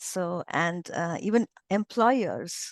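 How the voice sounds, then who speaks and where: Over a quiet background, a woman with a non-native accent speaks at a medium pitch with ordinary pitch variation, the sound dry and close with no echo. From India. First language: not English. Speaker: English teacher, former professor. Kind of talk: interview testimony. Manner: hesitant, many fillers and restarts.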